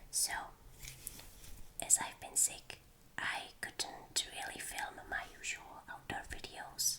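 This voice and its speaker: Whispering in a relaxed tone, a woman speaks at a very slow pace with long, frequent pauses. Noticeable background noise is present. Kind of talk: whispered ASMR show and tell. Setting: indoors in her room. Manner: whispered, slow, relaxed.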